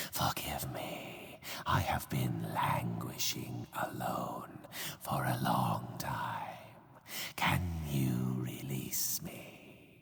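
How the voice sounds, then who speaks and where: A man whispers in a cartoonish character voice at a very slow pace. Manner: formal, archaic.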